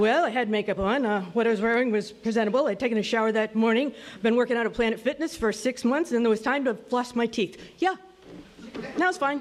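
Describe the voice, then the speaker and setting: A woman's fairly high voice at a very fast pace, with ordinary pitch variation, very even loudness and noticeable background noise. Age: 60s. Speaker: storyteller. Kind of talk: storytelling.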